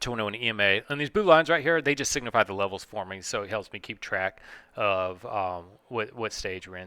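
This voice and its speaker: At a fairly quick pace, a man speaks in a bright, sharp tone on a very clean recording with a silent background. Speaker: stock market trader and video creator. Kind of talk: tutorial, casual chart review. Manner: rambling with many fillers and hesitations.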